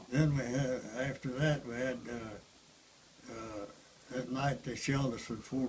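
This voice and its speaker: Speaking at a very slow pace, a man with a Southern US accent keeps to a medium pitch. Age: 80s+. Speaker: war veteran. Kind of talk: interview answer.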